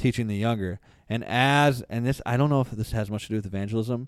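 This man talks very fast in an animated tone at a medium pitch, with ordinary pitch variation. The recording is very clean, with a silent background. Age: 20s. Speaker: podcast host. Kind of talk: casual chat.

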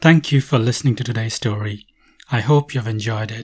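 A man speaks in a medium pitch with ordinary pitch variation and a somewhat breathy voice. The sound is dry and close, with no echo. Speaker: podcast host and storyteller. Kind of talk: fairy-tale myth narration read aloud, storybook style. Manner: measured, storyteller's cadence, with a warning tone in the goddess's scenes.

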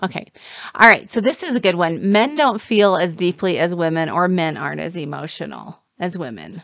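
A woman's fairly low voice with vocal fry, lively intonation and a moderate pace. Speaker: dating and relationship coach. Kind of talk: casual chat. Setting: studio.

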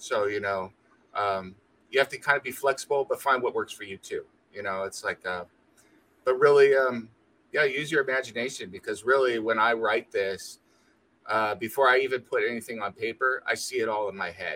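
A man speaks at a fairly quick pace and medium pitch in a bright, sharp tone. His pitch shifts in an ordinary way. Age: 50s. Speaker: comic book writer. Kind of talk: interview.

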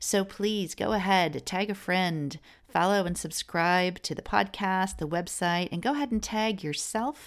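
At a fairly slow pace, a woman with an unremarkable speaking voice talks at medium pitch with ordinary pitch variation, recorded very cleanly over a silent background. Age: late 40s. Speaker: podcast host. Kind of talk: podcast interview; scripted intro and outro.

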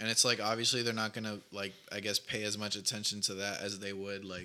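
Recorded very cleanly against a silent background, a man speaks with a fairly low pitch and a bright, sharp tone. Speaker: podcast co-host. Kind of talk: casual chat.

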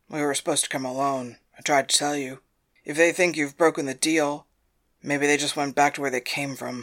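A man's put-on character voice, fairly high-pitched and fairly quick, flat and monotone, on a very clean recording with a silent background. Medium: audio drama. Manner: dry, cautionary.

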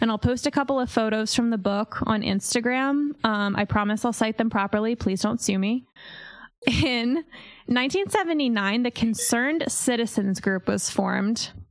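A woman with an American accent and a normal speaking voice talks at a moderate pace, her fairly high pitch showing ordinary variation and her loudness very even. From Pennsylvania, Centralia area. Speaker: podcast host. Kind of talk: casual storytelling.

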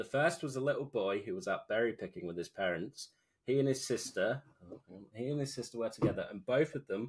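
A man speaks at a fairly quick pace with a British accent. His voice is somewhat breathy. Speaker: podcast co-host. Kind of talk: casual chat. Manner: animated.

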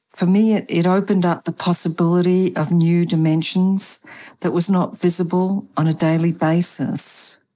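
A woman speaks at a moderate pace with a strong Australian accent, in a fairly low, dark, mellow voice. Her intonation is monotone and flat, the loudness very even, and the recording very clean with a silent background. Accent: Australian, kept strong. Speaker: author and feng shui consultant. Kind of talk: interview about spirituality.

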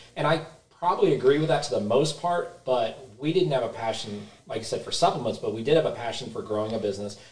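Through noticeable background noise, a man speaks very fast with lively intonation and a fairly high pitch. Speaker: supplement store co-owner. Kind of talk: casual chat. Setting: studio.

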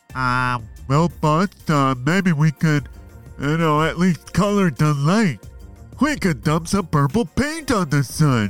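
Over faint background music, a man with a fairly high pitch for a man speaks fairly slowly with lively intonation. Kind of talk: kids' audio story comedy. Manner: dopey, hesitant, rambling.

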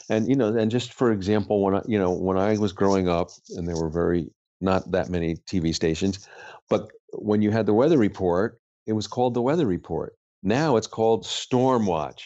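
A man speaks at a fairly quick pace in a fairly low pitch. His pitch varies in an ordinary way. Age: 60s. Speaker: poet and spiritual author. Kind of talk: interview. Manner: halting.

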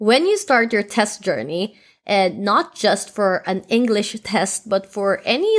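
A woman in a Filipino accent at medium pitch and a very slow pace, in a very clean recording with a silent background. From Philippines. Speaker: podcast co-host. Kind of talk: casual chat.

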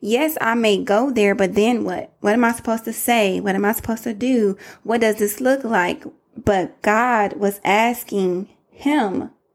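The speaker's tone is animated and warm, carried in a Southern US accent. The pace is fairly slow, with ordinary pitch variation. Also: woman, fairly high pitch for a woman. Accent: country, Southern US. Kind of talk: motivational faith-based monologue. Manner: animated, warm, conversational.

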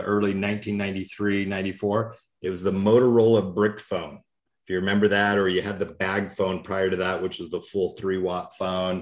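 In a very clean recording with a silent background, a man of fairly low pitch talks at a moderate pace. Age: 40s. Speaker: insurance and financial advisor. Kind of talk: business podcast talk. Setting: call.

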